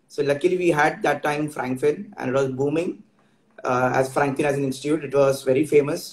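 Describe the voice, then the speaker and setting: Audible room echo surrounds a man speaking in a somewhat breathy voice. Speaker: guest. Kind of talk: interview answer. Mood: grateful, warm.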